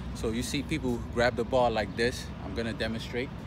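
Noticeable background noise sits under a man talking at a fairly quick pace. The sound is dry with no echo. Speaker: fitness trainer. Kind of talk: tutorial. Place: street.

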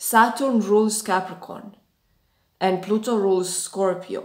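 A woman speaks at a fairly slow pace with audible room echo and a quiet background. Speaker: spiritual astrology vlogger. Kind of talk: lecture-like vlog talk. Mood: earnest, intense. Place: home room. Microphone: phone near.

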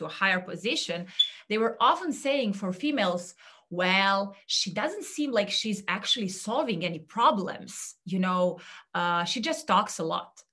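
Speaking with a Serbian accent over a quiet background, a woman uses a bright, sharp tone and lively intonation at a fairly slow pace. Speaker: career coach; speaker. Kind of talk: talk; presentation talk. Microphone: webcam.

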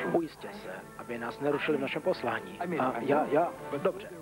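A man talks at a fairly quick pace with a fairly high pitch, lively intonation and big swings in loudness. Music plays in the background. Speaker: voice actor. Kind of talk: movie trailer. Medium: dub.

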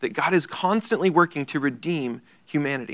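The tone is bright and sharp, set against a quiet background. Speech moves at a moderate pace. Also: man. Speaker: Bible study teacher. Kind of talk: lecture. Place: church. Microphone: lapel.

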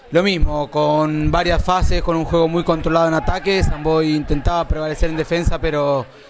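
Over noticeable background noise, an animated man speaks fairly quickly in a fairly high pitch. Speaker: match commentator and video editor. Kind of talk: sports commentary. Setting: voiceover over match footage. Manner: animated, fast play-by-play delivery.

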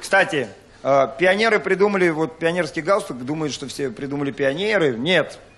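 Lively intonation from a man, at a moderate speed. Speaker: stand-up comedian. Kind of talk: stand-up comedy monologue. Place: stage. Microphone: handheld.

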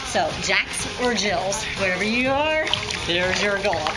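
Music is clearly audible in the background. Over it, a woman talks. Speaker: fitness instructor. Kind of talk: tutorial. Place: waterside. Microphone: camera far.

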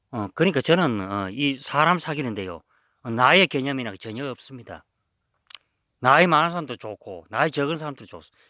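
A man with a medium pitch and a bright, sharp tone talks at a fairly quick pace with lively intonation. His loudness swings widely in a very clean recording with a silent background. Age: 50s. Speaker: herb forager and small channel host. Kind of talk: casual vlog monologue. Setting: outdoors on a mountain. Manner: halting, many fillers.

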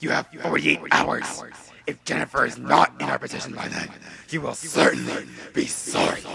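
In a put-on character voice, a man speaks raspily at a moderate pace. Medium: audio drama. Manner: stern, scornful.

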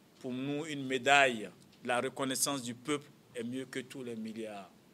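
At a fairly slow pace, a man speaks. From Côte d'Ivoire. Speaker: politician, former student leader; politician. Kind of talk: press conference. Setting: press conference room. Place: meeting room.

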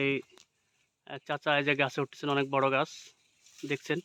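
In a dry, close sound with no echo, a man talks at a fairly high pitch with a bright, sharp tone, monotone, flat intonation and very even loudness. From Rajshahi, Bangladesh. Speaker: vlogger. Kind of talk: vlog with on-site interviews. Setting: outdoors.

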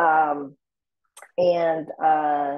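A woman against a quiet background. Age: 40s. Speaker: book club host. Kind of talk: casual book club discussion. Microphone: video call.

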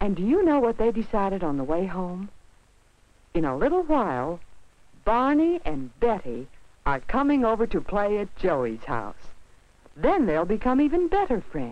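Moderate pace broken by long, frequent pauses. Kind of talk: 1950s educational film narration. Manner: warm, upbeat, patronizing sing-song tone with rhetorical questions to children.

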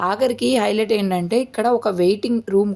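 A woman's voice with a dark, mellow tone. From Chirala, coastal Andhra Pradesh. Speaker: family vlogger. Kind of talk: casual vlog narration.

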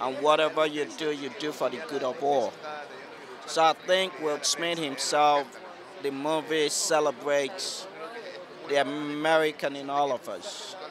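A man with fairly high pitch and fairly even intonation, a fairly slow pace, dry sound with no echo, and noticeable background noise. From Nigeria. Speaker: doctor. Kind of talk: red carpet interview. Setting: red carpet at an awards event. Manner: halting. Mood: warm, enthusiastic. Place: street. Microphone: handheld.

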